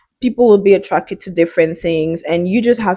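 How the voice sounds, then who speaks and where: In a very clean recording with a silent background and a dry, close sound with no echo, a woman with a French accent speaks in a dark, mellow tone with ordinary pitch variation. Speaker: fitness and wellness vlogger. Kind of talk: casual vlog monologue. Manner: halting.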